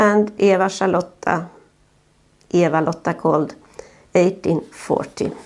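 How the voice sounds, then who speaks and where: Ordinary pitch variation in a Swedish accent against a quiet background. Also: woman. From Sweden. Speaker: family history narrator. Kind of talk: video narration for relatives. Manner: halting, frequent uh fillers. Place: home room. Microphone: phone near.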